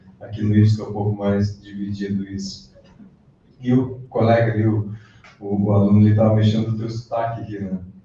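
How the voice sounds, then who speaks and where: Audible room echo surrounds a man speaking at a fairly quick pace in a fairly low pitch, his intonation monotone and flat. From southern Brazil, gaúcho. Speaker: college lecturer. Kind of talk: closing remarks at a lecture.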